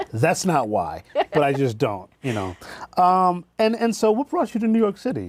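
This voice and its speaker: A man with an American accent at a moderate pace, on a very clean recording with a silent background. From Boston. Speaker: TV talk show host. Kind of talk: interview. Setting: TV studio.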